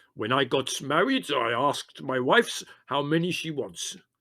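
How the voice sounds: Using a put-on character voice, a man speaks at a moderate pace and a fairly high pitch with lively intonation.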